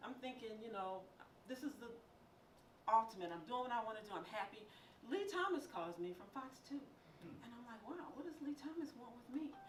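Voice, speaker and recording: Amid audible room echo, a woman with a high pitch talks at a fairly quick pace, her voice making very wide pitch swings and big swings in loudness, broken by long, frequent pauses. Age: 60s. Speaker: radio news producer and film critic. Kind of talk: motivational talk.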